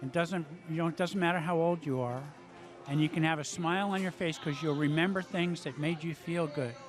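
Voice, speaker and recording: Music plays in the background as a man talks at a fairly quick pace. His pitch is fairly high and his intonation fairly even. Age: 60s. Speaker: amateur singer and guitarist. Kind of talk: casual interview. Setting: restaurant during live music event.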